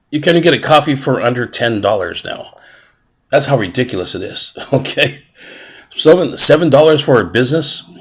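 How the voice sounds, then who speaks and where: A man's fairly high voice with vocal fry and lively intonation. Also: moderate pace. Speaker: online marketer. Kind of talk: casual sales pitch to camera.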